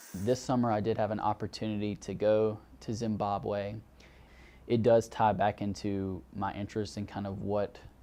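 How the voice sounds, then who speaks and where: A man's fairly low voice has a dark, mellow tone and fairly even intonation. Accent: Southern US. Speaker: graduate counseling student. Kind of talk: interview testimony.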